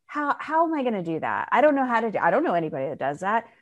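A woman against a quiet background. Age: 50s. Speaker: spiritual teacher and author. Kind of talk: interview. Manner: cheerful.

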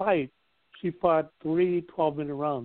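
In an American accent, a man speaks with a fairly high pitch and fairly even intonation. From Inland Empire, California. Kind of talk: casual podcast chat.

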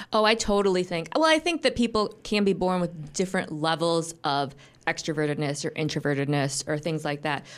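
A woman with an American accent and an unremarkable speaking voice, fairly low in pitch, with ordinary pitch variation and a fairly quick pace, in a very clean recording with a silent background. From US Midwest, Grand Rapids, Michigan. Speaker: business executive. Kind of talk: radio interview. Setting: studio.

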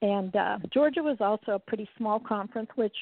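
In an ordinary speaking voice, a woman talks at a fairly high pitch with ordinary pitch variation. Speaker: patient advocate. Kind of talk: casual interview.

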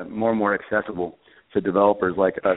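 This man speaks at a fairly low pitch with monotone, flat intonation. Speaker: startup co-founder. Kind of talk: interview. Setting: speakerphone call.

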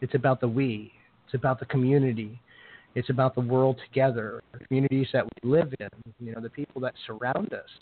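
At a fairly quick pace, a man talks at medium pitch with fairly even intonation and big swings in loudness. It is an ordinary speaking voice. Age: 40s. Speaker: podcast host and tarot reader. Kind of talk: casual interview chat.

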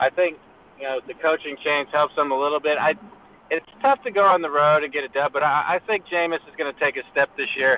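An unremarkable speaking voice at a fairly quick pace, with fairly even intonation and big swings in loudness. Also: man, fairly high pitch for a man. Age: 30s. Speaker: fantasy football panelist. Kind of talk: casual chat. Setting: phone call while driving in car. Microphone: phone line.

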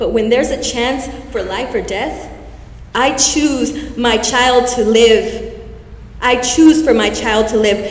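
A woman's high-pitched voice at a very slow pace, fairly even in intonation, over noticeable background noise. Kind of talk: spoken word poetry. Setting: stage with audience.

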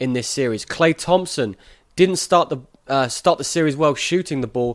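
The recording is very clean, with a silent background. A man with an English accent talks at a fairly quick pace. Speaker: sports podcast host. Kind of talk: interview.

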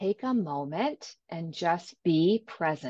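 With a Canadian accent, a woman's voice moves in very wide pitch swings, recorded with a dry, close sound and no echo. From Ontario, Canada. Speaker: life coach. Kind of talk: interview, coaching advice. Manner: enthusiastic.

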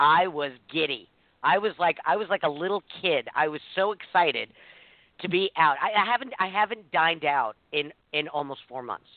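In an ordinary speaking voice, a woman with a fairly low pitch talks at a moderate pace with lively intonation. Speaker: co-host and producer. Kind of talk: radio talk show banter.

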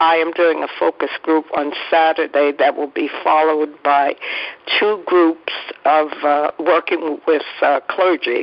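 Someone talks at a fairly slow pace over noticeable background noise. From New York City (Harlem). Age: 80s+. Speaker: social worker and activist. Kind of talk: interview. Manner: halting.

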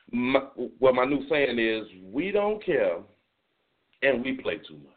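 A man with an American accent speaks at a moderate pace with lively intonation. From South Florida (Miami-Dade County). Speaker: internet radio talk show host. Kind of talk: casual solo talk show monologue. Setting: internet radio broadcast, also streamed on video.

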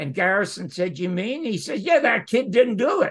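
This man's voice sits high for a man, and he talks at a moderate pace. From Canada. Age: 90s. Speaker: TV writer-producer and former host. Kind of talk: interview. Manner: passionate, animated.

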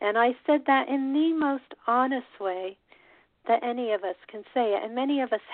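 Talking at a fairly slow pace, a woman uses a normal speaking voice with ordinary pitch variation. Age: 50s. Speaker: radio host. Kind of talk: solo monologue.

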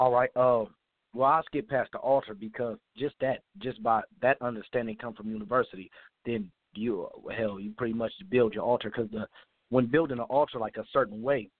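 A man's normal speaking voice at medium pitch, fairly quick in pace, with fairly even intonation. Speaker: caller. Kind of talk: casual call-in comments. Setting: phone call.

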